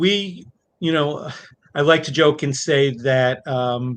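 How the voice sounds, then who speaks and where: Very slowly, a man speaks with an American accent. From New York. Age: 60s. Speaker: family medicine doctor. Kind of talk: interview. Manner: halting.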